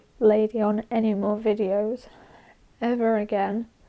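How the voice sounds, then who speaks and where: In a British accent, a woman with a fairly high pitch and a dark, mellow tone talks at a fairly slow pace with monotone, flat intonation. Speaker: horse-riding vlogger. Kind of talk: personal vlog update. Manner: halting.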